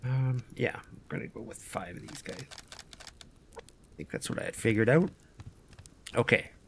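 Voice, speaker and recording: Taking long, frequent pauses, a man speaks at a moderate pace with a medium pitch, ordinary pitch variation and big swings in loudness, over noticeable background noise. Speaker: gaming youtuber. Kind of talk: gameplay commentary. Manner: casual, thinking aloud.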